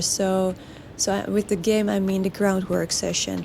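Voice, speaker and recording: A woman with a Dutch accent speaks at a medium pitch and a fairly slow pace. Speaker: horse trainer. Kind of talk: video commentary over training footage. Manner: halting, many fillers and restarts.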